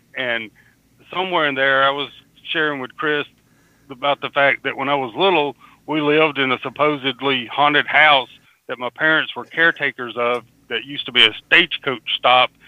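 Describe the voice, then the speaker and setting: With a Southern US accent, a man speaks at a moderate pace in a fairly high pitch with fairly even intonation. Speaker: podcast host.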